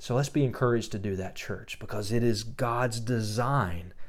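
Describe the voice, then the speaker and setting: Audible room echo surrounds a man whose voice sits at a fairly low pitch. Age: 40s. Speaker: pastor. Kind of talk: podcast sermon with personal testimony.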